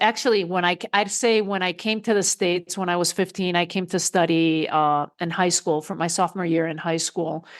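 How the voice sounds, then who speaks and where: Speaking with a Spanish accent, a woman keeps a moderate pace and a medium pitch. Her intonation is fairly even against a quiet background. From Spain. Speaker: coach and speaker. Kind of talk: interview.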